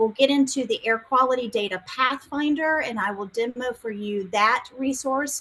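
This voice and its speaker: A woman speaks in a high-pitched, bright, sharp tone with ordinary pitch variation. She leaves hardly any pauses. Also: moderate pace. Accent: South Carolina. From South Carolina. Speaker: science outreach specialist. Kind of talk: webinar presentation. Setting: video call from home.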